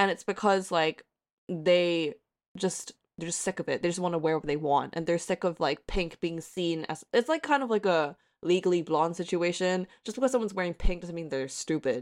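A woman with an American accent talks at a moderate pace, her pitch fairly low with ordinary variation. The recording is very clean with a silent background and a dry, close sound with no echo. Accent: American-sounding. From Hong Kong. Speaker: independent journalist. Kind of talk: casual chat.

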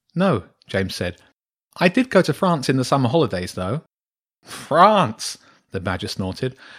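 Against a quiet background, someone reads in an unforced reading voice.

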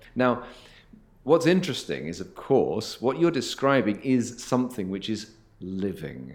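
A man speaks at a fairly slow pace with vocal fry, his medium pitch making very wide swings. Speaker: interviewer, host. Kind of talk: interview conversation.

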